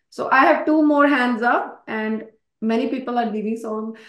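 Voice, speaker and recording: A woman's high voice carries ordinary pitch variation at a moderate pace. Audible room echo can be heard. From India. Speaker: nursing exam instructor. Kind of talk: online class lecture. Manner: animated.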